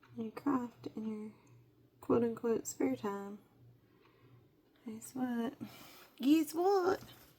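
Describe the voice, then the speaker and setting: Against noticeable background noise, a woman with a fairly high voice speaks at a very slow pace, with lively intonation, big swings in loudness and long, frequent pauses. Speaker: crafting YouTuber. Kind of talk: casual tutorial chat.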